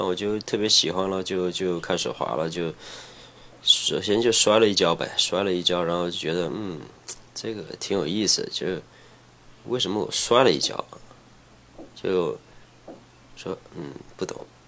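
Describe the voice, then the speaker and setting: A man with a very deep, low voice talks at a moderate pace with ordinary pitch variation and long, frequent pauses against noticeable background noise. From Henan, China (rural Huaiyang), later Shenzhen. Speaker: former pro skateboarder. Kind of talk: casual chat. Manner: halting.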